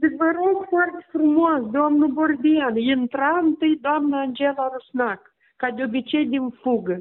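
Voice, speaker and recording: In a Moldovan accent, a woman with high pitch talks at a very slow pace. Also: ordinary pitch variation. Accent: Moldovan Romanian, regional forms. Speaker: bereaved mother of a patient. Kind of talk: testimony.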